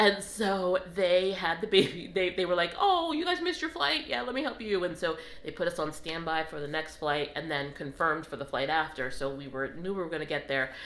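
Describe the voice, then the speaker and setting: Over noticeable background noise, a woman with a fairly low pitch talks at a fairly quick pace with hardly any pauses and ordinary pitch variation. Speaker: travel vlogger. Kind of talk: casual storytelling vlog.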